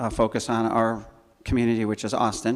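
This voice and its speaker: A man at a medium pitch and moderate pace with a Chicago accent. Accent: Chicago-area American. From Chicago north suburbs, Illinois. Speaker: church scholarship volunteer. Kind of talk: informal presentation to congregation. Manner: halting, many fillers and restarts.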